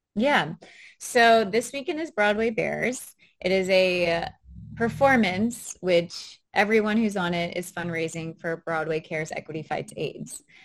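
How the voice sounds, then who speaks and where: A woman with an American accent has a normal speaking voice at a medium pitch. She talks at a fairly slow pace with lively intonation. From US South, New Orleans, Louisiana. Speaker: Broadway performer. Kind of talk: casual interview.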